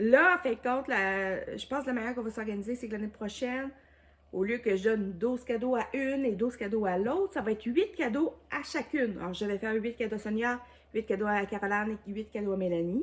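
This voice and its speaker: At a fairly quick pace, a woman with a Quebec accent speaks at a fairly high pitch. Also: ordinary pitch variation. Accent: Québécois French. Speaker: YouTuber, diamond painting crafter. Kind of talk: casual vlog chat. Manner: hesitant, many fillers.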